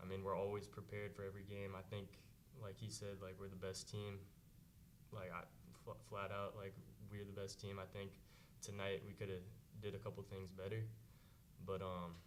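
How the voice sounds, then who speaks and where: In a room with audible echo, a man talks at a fairly quick pace and a fairly low pitch, with monotone, flat intonation and long, frequent pauses. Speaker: college basketball player. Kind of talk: press conference.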